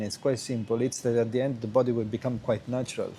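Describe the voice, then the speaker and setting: Medium pitch from a man, at a fairly quick pace. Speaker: qigong teacher. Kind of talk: video lesson answering student question. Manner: halting, many fillers and restarts.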